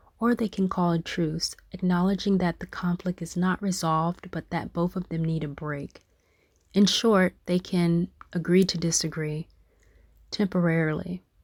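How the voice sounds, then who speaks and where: Her pitch is fairly low and her intonation monotone and flat. This woman keeps a moderate pace. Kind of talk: audiobook reading.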